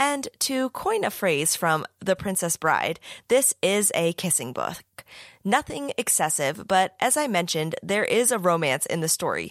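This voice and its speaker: A woman with an American accent at a medium pitch, very wide pitch swings and a fairly slow pace, in a very clean recording with a silent background and a dry, close sound with no echo. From US. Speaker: podcast host and young adult author. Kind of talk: casual interview chat; scripted outro narration.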